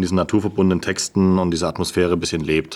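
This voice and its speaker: A man talks at a very deep, low pitch. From Bavarian Swabia, Unterallgäu. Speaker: novelist and podcast co-host. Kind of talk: casual chat.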